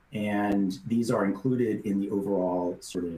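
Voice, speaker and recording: Through noticeable background noise, a man speaks at a moderate pace with a fairly low pitch and fairly even intonation. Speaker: software product presenter. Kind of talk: webinar software demo. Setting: online webinar. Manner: hesitant fillers.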